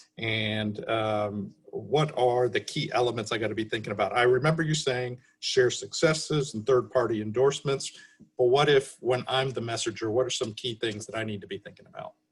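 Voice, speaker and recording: Speaking at a fairly quick pace, a man sounds somewhat breathy, with a medium pitch and ordinary pitch variation. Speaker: webinar moderator. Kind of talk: webinar interview. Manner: halting.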